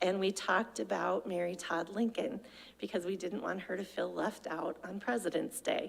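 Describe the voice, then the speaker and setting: Woman at a medium pitch, with vocal fry and a moderate pace. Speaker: adult education program director. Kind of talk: presentation to a club meeting. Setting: club meeting with audience. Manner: animated.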